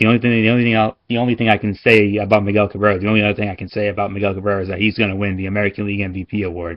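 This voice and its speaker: Fairly low in pitch, a man speaks at a very fast pace in a monotone, flat intonation. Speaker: sports video blogger. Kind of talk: casual sports commentary monologue. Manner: halting, with stumbles and fillers.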